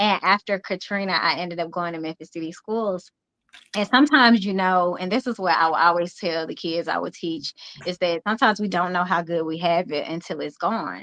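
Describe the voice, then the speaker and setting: A woman with a Mississippi accent, fairly low pitch and a bright, sharp tone, at a fairly quick pace with ordinary pitch variation, in a dry, close sound with no echo. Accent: Southern US (Mississippi). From US South, Jackson, Mississippi. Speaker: youth pageant founder and coach. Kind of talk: interview.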